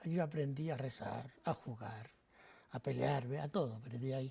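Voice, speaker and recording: On a very clean recording with a silent background, a man with a fairly high pitch and a dark, mellow, somewhat breathy tone speaks at a moderate pace. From Spain, Madrid (Carabanchel); born in Navarra. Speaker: priest. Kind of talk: TV interview.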